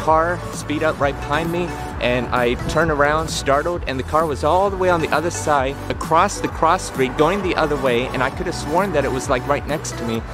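Over clear music in the background, a man speaks at a moderate pace with ordinary pitch variation in a dry sound with no echo. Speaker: vlogger. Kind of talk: casual vlog chat. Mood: earnest, explanatory. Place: street. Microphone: phone near.

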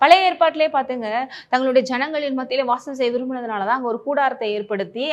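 Over a quiet background, a woman talks at a high pitch with ordinary pitch variation. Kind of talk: sermon, devotional message.

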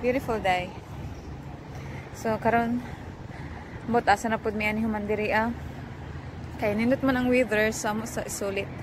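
A woman's flat, monotone delivery at a moderate pace, broken by long, frequent pauses, in a dry sound with no echo and noticeable background noise. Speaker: vlogger. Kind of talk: casual vlog chat. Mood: cheerful. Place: waterside. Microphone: phone near.

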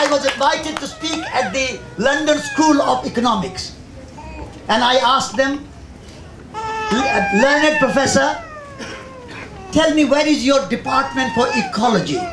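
A man with an Indian accent speaks with long, frequent pauses over noticeable background noise. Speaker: environmental magazine editor and speaker. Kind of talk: public talk. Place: tent. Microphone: handheld.

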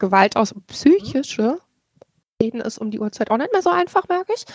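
An ordinary speaking voice with lively intonation moves at a fairly quick pace. The sound is dry and close, with no echo. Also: woman. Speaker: podcast guest. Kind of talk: casual book discussion.

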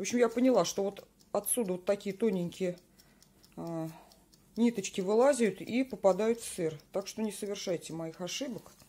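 A woman at a moderate pace, dark and mellow in tone, with ordinary pitch variation, big swings in loudness and long, frequent pauses. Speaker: home cheesemaking vlogger. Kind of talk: tutorial. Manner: casual, chatty. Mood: relaxed, advising. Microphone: phone near.

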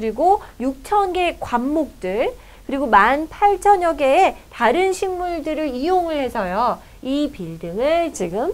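Very slowly, a woman speaks in a high voice that makes very wide swings in pitch. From South Korea. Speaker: English teacher. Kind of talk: lecture. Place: studio.

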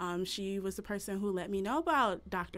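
The pace is fairly slow as a woman talks. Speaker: event host. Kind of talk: event introduction. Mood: warm, grateful. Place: home room.

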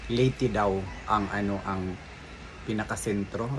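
A man speaks in a flat monotone. Noticeable background noise runs behind him. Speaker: food vlogger. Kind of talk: casual vlog chat. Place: home room. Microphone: phone near.

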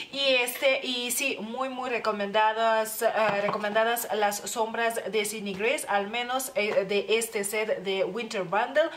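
Light background noise sits behind a woman with a fairly high pitch who talks fairly slowly with fairly even intonation and hardly any pauses. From Lithuania. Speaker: beauty youtuber; beauty vlogger. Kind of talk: product review. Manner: halting, many fillers. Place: home room. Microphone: phone near.

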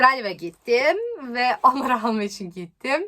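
A woman speaks very slowly in a bright, sharp, fairly high voice with a non-native accent. Her pitch swings very widely. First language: not Turkish (speaking Turkish). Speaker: YouTuber. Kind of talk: vlog.

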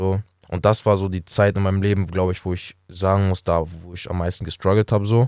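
A man's very deep, low voice at a fairly quick pace, dry with no echo, over a quiet background. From Hamburg, northern Germany; Germany. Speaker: professional footballer; podcast guest. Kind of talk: casual interview. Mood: calm, reflective storytelling. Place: studio. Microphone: studio mic.

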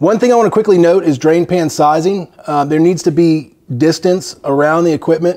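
Dark and mellow in tone, a man's voice sits at a high pitch. His intonation stays fairly even over a quiet background. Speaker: HVAC installer trainer. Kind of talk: tutorial.

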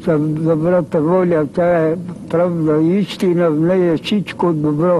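Speaking very slowly in a fairly high, flat monotone, a man is heard over light background noise. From Bulgaria. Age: 80s+. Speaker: ascetic beggar and holy elder. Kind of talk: interview answer. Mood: calm, humble, earnest. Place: church.

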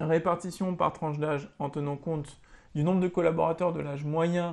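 A man speaks at a fairly high pitch. His intonation stays monotone and flat. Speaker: teacher. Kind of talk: tutorial. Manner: hesitant, many filler sounds. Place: home room. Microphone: webcam.

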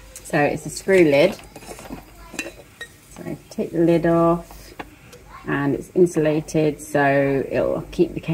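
Crowd noise fills the background as a woman speaks at a very slow pace. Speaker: diet vlogger. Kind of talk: casual vlog chat. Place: kitchen. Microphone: phone near.

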